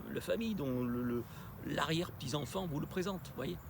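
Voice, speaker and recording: A man speaks with lively intonation. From southwest France, Bordeaux. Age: 60s. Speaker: ethnobotanist. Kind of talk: interview. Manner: halting, many hesitations.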